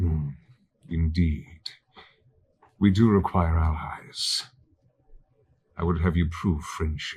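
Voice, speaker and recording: This man has a very deep, low pitch and uses a put-on character voice. His delivery is fairly slow with long, frequent pauses. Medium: actual play. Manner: slow, condescending, menacing.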